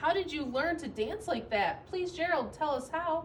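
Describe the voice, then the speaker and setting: Someone uses a squeaky, put-on character voice at a moderate pace over clear background noise. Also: woman. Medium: read story.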